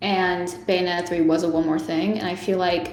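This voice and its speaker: There is noticeable background noise and audible room echo as a woman speaks at a medium pitch. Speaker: video game fan. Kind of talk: casual chat. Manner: fast, halting.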